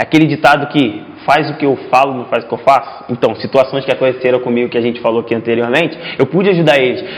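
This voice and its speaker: A man talks very fast at medium pitch with ordinary pitch variation. Noticeable background noise sits behind him. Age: 20s. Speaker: futsal player. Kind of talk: casual interview chat.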